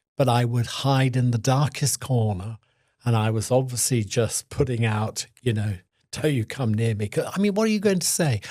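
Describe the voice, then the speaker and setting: At a moderate pace and medium pitch, a man talks with ordinary pitch variation in a somewhat breathy voice with a dark, mellow tone. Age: 70s. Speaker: activist, HIV long-term survivor. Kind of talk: interview answer.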